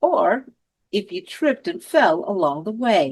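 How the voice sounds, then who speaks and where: A woman speaks at a very slow pace and medium pitch. Her pitch swings very widely. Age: 60s. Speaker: senior advocate. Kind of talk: reflective monologue.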